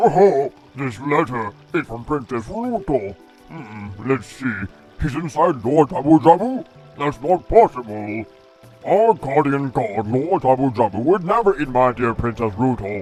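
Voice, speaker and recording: A man speaks at a moderate pace in a put-on character voice of medium pitch, with clear music in the background. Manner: unique, distinctive voice.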